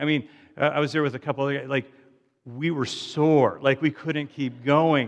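Moderate in pace, a man talks with a fairly high pitch. He has an unremarkable speaking voice. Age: 50s. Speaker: pastor. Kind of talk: sermon.

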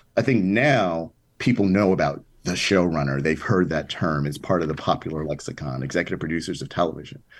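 A man with an American accent speaks at a fairly quick pace with lively intonation. His pitch is very deep and low, with vocal fry. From Chicago South Side. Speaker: TV writer and producer. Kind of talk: interview.

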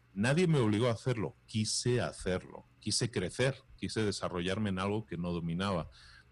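In a normal speaking voice, a man talks at a moderate pace with hardly any pauses, his fairly low pitch showing ordinary variation over a quiet background. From Spain. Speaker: entrepreneur and podcaster. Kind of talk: interview.

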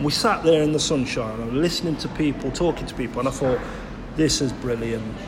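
Fairly quick speech with an East Midlands accent and ordinary pitch variation, plus audible room echo and noticeable background noise. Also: man. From Nottingham, England (Clifton). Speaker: community podcast host. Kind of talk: casual interview. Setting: leisure centre.

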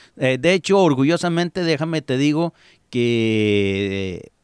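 A man at medium pitch with very wide pitch swings, on a very clean recording with a silent background and a dry, close sound with no echo. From Mexico, Jalisco. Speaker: radio host. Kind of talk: casual chat.

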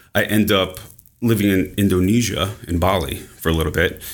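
In a normal speaking voice with an American accent, a man talks at a moderate pace and fairly low pitch with ordinary pitch variation. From New York. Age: 40s. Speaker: ADHD coach. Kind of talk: interview.

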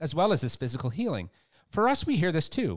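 The recording is very clean, with a silent background. The voice, marked by vocal fry, moves at a fairly quick pace with very wide pitch swings. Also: man. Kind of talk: fervent prayer; devotional prayer and scripture reading. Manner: fervent, reverent.

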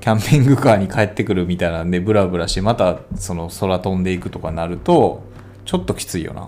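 A man with a Kansai accent talks at a very fast pace in a very deep, low pitch. Background noise is noticeable. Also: ordinary pitch variation. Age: 30s. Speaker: podcast co-host. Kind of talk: casual chat. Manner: animated.

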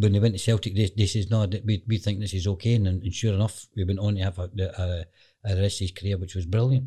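A fairly quick, monotone man's voice, fairly low and somewhat breathy with a dark, mellow tone, in a Glaswegian accent over a quiet background. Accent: Glaswegian Scottish. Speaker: football agent. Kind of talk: interview.

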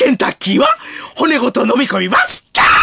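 Putting on a character voice, a man speaks at an extremely high pitch. His pace is fairly quick. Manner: loud, shrieking, comedic.

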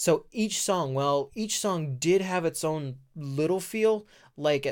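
On a very clean recording with a silent background, a man with a fairly high pitch and lively intonation speaks in an unremarkable speaking voice. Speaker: podcast co-host. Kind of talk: casual chat. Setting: studio. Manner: laughing, playful.

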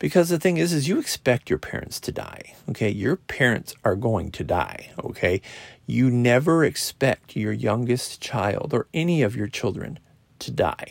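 Moderate pace, very wide pitch swings and vocal fry, in a dry, close sound with no echo. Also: man, medium pitch for a man. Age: 40s. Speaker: podcaster. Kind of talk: casual monologue. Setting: recorded alone on a podcast app at night. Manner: halting, many fillers.

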